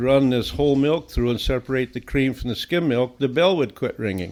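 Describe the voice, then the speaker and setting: A very clean recording of a man with a medium pitch, the background silent. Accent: Upper Midwest US. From southern Minnesota. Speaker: veterinarian. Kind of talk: interview storytelling.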